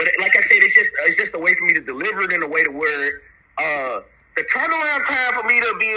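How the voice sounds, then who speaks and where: Speaking at a very fast pace with an American accent, a man talks over noticeable background noise. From US South, Chattanooga, Tennessee. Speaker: rapper. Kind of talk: interview. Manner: halting, with many fillers and repeats.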